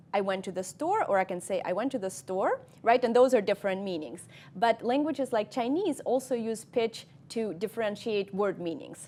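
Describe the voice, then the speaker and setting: Lively intonation from a woman with a fairly high voice, moving at a moderate pace. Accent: Russian. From Russia. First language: Russian. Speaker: cognitive scientist. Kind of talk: interview. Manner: hesitant, many ums.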